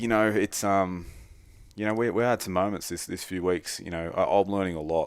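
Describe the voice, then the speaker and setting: A man talks at a fairly quick pace with an Australian accent. His intonation stays fairly even. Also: very clean recording, silent background. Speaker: bowhunter. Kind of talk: casual podcast interview.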